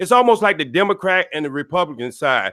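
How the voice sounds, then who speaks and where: The voice belongs to a man and sits high in pitch. Lively intonation runs through his speech. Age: 60s. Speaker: retired entertainment worker, YouTuber. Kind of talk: casual chat.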